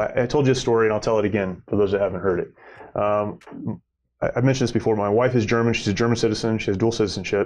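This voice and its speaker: A man is speaking. The background is quiet. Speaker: podcast host, nonprofit director. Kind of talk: interview. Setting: studio. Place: studio. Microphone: lapel.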